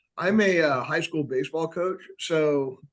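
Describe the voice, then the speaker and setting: At a moderate pace, a man with an American accent and an unremarkable speaking voice speaks at a fairly high pitch. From US South, Atlanta. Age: 60s. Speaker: high school teacher and baseball coach. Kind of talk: casual chat.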